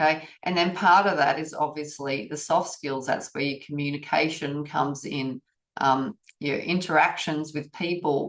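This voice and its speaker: With a very deep, low pitch, a woman speaks at a moderate pace and with fairly even intonation. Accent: Australian. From Australia. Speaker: auditor trainer. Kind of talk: webinar presentation. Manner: casual.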